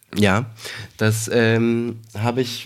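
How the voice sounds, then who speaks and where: A man speaks at medium pitch. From Berlin. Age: 40s. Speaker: dubbing director. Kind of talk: casual chat. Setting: home living room.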